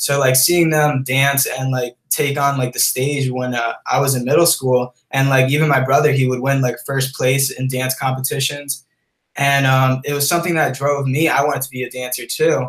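A man speaks at a moderate pace with hardly any pauses. His medium-pitched voice is somewhat breathy, with monotone, flat intonation. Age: 20s. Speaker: creative director and content creator. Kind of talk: casual interview.

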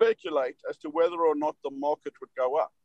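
A man's high-pitched voice with ordinary pitch variation, in a dry, close sound with no echo. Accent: South African. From South Africa. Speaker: derivatives executive. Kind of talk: interview. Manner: animated.

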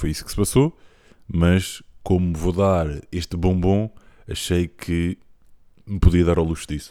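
A man with a European Portuguese accent speaks very deep and low, his tone dark and mellow and his intonation fairly even. He goes at a fairly slow pace with long, frequent pauses on a very clean recording with a silent background. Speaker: podcast host. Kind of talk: casual chat. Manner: halting.

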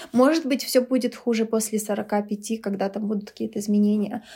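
A woman speaks at a fairly high pitch with a dark, mellow tone. Her voice is somewhat breathy. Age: 30s. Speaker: teacher. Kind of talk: casual chat. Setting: at home over food and drinks.

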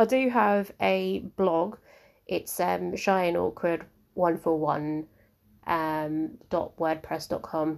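A woman speaking very slowly with lively intonation, on a very clean recording with a silent background. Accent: southern English. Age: 20s. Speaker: podcast host. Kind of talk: casual monologue. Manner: hesitant, with many fillers.

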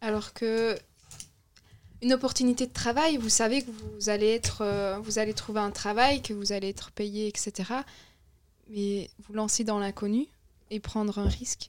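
The speech has long, frequent pauses. Its intonation stays fairly even. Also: woman. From Belgium. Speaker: young discussion participant. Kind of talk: casual philosophical discussion.

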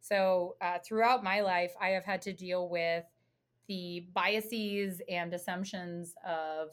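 With an American accent, a woman speaks at a very slow pace. Her medium-pitched voice has a monotone, flat intonation. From United States. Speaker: professor. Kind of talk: casual chat. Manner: halting.

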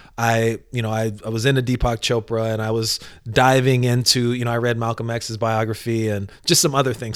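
In a very clean recording with a silent background, a man with an unremarkable speaking voice and medium pitch talks at a fairly quick pace. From US, Northern Virginia near Washington DC (also LA and Atlanta). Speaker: entrepreneur and mindfulness facilitator. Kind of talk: casual chat.

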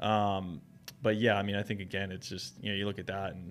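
A man with an American accent and a normal speaking voice talks at a fairly quick pace, his pitch fairly low and his intonation fairly even, in a very clean recording with a silent background. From New Jersey. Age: 30s. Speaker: running shoe store owner. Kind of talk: casual interview.

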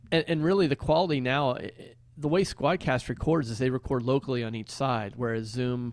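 This man has a normal speaking voice, medium in pitch, with ordinary pitch variation. He talks at a fairly quick pace against a quiet background. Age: 50s. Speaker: podcast co-host. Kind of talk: casual chat.

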